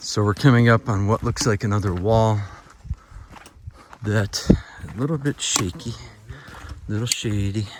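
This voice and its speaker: Noticeable background noise runs under speech at a moderate pace, with ordinary pitch variation and long, frequent pauses. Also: man, fairly low pitch for a man. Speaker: travel vlogger exploring ruins. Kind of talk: walking tour narration. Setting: outdoors on mountain trail. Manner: whispering; casual, conversational.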